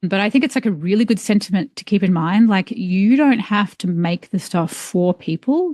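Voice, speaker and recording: A woman with an Australian accent speaks in a somewhat breathy voice with a dark, mellow tone and lively intonation, barely pausing, in a dry, close sound with no echo. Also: medium pitch for a woman, moderate pace. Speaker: environmental engineer and author. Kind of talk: podcast interview. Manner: casual, filler-heavy.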